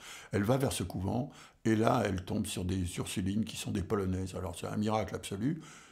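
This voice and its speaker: A man's somewhat breathy, fairly low-pitched voice at a fairly quick pace, with ordinary pitch variation and audible room echo. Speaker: jazz drummer and music scholar. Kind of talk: lecture. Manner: halting, many hesitations.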